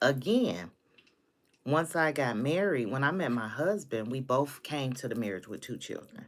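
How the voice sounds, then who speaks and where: A woman's voice sits at a very deep, low pitch, with an animated tone and very wide pitch swings. The recording is very clean, the background silent. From United States. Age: 50s. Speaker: live-stream host. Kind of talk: casual chat. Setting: live stream.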